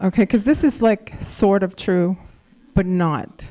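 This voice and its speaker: A woman speaks at a medium pitch with lively intonation. Her tone is dark and mellow. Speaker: spoken word poet. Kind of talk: casual stage introduction.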